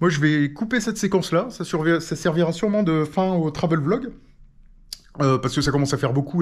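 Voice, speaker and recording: Lively intonation colors this man's fairly quick speech. There is a very clean recording with a silent background. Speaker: travel vlogger. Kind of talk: casual vlog talk to camera. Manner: hesitant.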